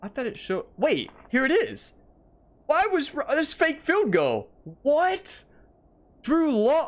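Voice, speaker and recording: A man's extremely high voice, very wide pitch swings, a very slow pace, long and frequent pauses. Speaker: gaming YouTuber. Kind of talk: gameplay commentary. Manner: animated. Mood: frustrated, exasperated.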